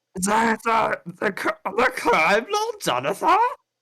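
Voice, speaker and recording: A put-on character voice, female-sounding and fairly high in pitch, moves at a fairly slow pace. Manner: stuttering.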